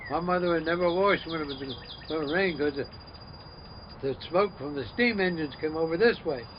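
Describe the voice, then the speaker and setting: A man with an American accent speaks at a fairly quick pace in a fairly high voice for a man, with ordinary pitch variation and noticeable background noise. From US Northeast. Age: 80s+. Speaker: elderly local resident. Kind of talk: oral history interview. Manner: halting.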